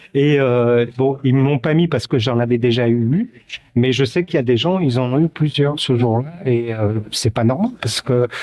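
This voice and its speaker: Moderate speed from a man, the sound dry and close-miked without any echo. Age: 60s. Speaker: protester. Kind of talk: street interview. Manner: halting, many fillers.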